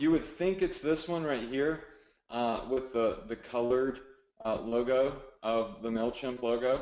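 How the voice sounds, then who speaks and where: Here a man speaks with a Southern US accent. His pace is fairly slow. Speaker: online marketing coach. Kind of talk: webinar tutorial. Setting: live webinar with screen share. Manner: casual, filler-heavy.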